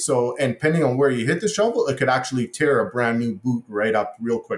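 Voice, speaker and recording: Somewhat breathy, a man speaks at a medium pitch. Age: 40s. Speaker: irrigation contractor and inventor. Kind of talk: interview. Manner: halting.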